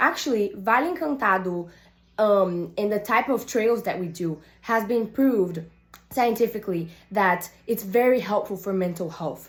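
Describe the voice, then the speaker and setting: The voice is somewhat breathy, with ordinary pitch variation and a moderate pace. The recording is very clean, with a silent background. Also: woman. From Brazil, Salvador, Bahia. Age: 18. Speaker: youth climate activist and surfer. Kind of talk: prepared personal video statement.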